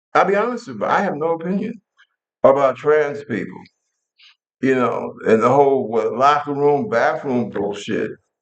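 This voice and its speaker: Speaking at a moderate pace with an American accent, a man with a fairly high pitch shows vocal fry and very wide pitch swings. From New York. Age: 70s. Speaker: military veteran and talk show host. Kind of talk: political commentary monologue. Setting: living room. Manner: animated.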